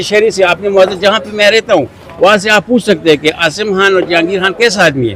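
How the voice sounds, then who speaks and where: The speaker talks at a moderate pace while crowd noise carries on in the background. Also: man. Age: 60s. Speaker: retired police constable. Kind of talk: interview testimony.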